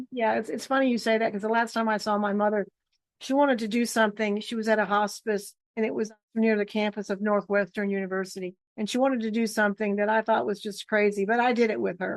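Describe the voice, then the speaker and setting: Very fast and monotone, a woman with an American accent speaks in a fairly high pitch with flat intonation. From Michigan. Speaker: career show host. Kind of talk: interview.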